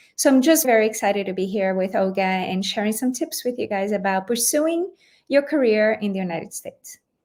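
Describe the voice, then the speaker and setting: In a very clean recording with a silent background, a woman talks fairly quickly. Her pitch is fairly high, and she has a Portuguese accent. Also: lively intonation. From Brazil. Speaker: lawyer, former general counsel. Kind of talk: interview podcast.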